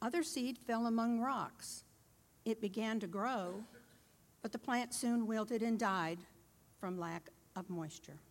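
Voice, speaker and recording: A woman with a fairly high pitch and ordinary pitch variation speaks at a fairly slow pace, leaving long, frequent pauses. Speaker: scripture reader. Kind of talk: reading aloud.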